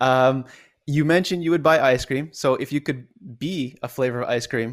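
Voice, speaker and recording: Using an unremarkable speaking voice, a man at a medium pitch talks at a fairly quick pace with ordinary pitch variation. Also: very clean recording, silent background. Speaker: podcast host and life coach. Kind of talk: casual interview.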